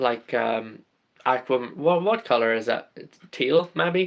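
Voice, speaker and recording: Ordinary pitch variation in an Irish accent. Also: man. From Ireland. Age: 20s. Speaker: LEGO live streamer. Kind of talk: casual live stream chat.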